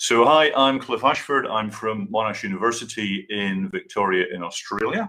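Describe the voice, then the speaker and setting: In a Scottish accent, a man speaks at a moderate pace. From Scotland. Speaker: university staff presenter. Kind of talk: conference presentation.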